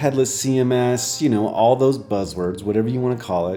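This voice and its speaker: A soft-spoken man with lively intonation over music in the background. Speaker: software developer streamer. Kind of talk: live coding stream tutorial. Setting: live stream. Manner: casual, hesitant with fillers.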